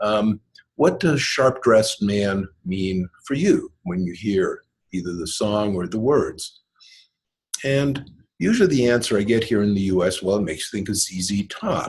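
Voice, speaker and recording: A man with a Canadian accent speaks at a fairly slow pace, his somewhat breathy, fairly low voice showing ordinary pitch variation. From Canada. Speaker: MBA instructor. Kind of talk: online lecture walkthrough. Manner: hesitant, many ums.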